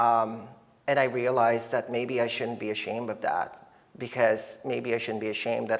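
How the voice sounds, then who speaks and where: A man talks at a fairly quick pace. He has a slight Filipino accent. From Philippines, moved to Canada at nine. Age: 30s. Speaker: artist. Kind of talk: artist talk. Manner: hesitant, many fillers.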